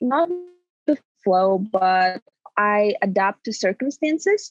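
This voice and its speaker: A woman speaks with a Russian accent. Her pitch swings very widely. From Kazakhstan. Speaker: recent university graduate. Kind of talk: casual interview.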